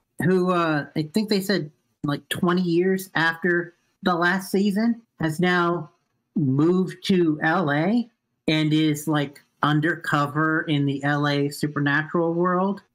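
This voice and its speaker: Speaking at a very slow pace against a quiet background, a man with a high pitch keeps his loudness very even and his intonation fairly even. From Japan. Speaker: podcast co-host. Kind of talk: casual chat. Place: home room.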